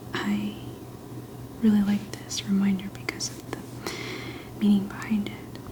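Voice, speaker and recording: A woman whispering in a relaxed tone, with noticeable background noise. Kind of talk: ASMR soft-spoken affirmations chat. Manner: soft-spoken, whispery, relaxed.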